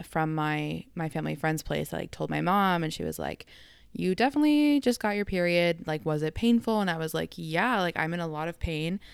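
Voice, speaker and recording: A woman with a Canadian accent in a very clean recording with a silent background. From Canada. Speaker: health podcaster. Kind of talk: personal storytelling monologue.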